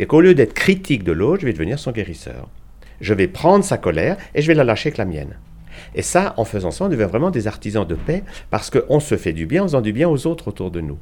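A man talks at a very fast pace in a medium pitch, with vocal fry. His pitch swings very widely. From Switzerland, Geneva. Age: 70s. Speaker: physician and alternative medicine author. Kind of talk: interview.

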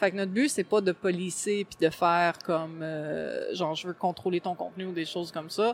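A woman with a Quebec accent, fairly low in pitch, at a moderate pace with fairly even intonation and hardly any pauses. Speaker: gaming blogger. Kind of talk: interview. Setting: convention floor.

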